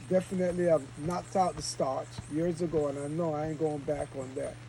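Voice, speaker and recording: Against noticeable background noise, a man talks at a moderate pace in a fairly high pitch with ordinary pitch variation. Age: 70s. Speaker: retreat leader, raw food and fasting teacher. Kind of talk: casual group talk. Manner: animated.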